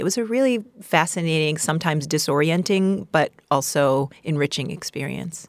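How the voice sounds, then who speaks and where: In a New York accent, a woman with a very deep, low pitch talks at a moderate pace with lively intonation, on a very clean recording with a silent background and a dry, close sound with no echo. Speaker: playwright and solo performer. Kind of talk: interview conversation. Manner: animated.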